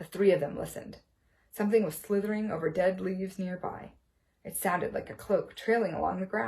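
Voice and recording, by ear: Natural-sounding reading aloud, intonation kept fairly even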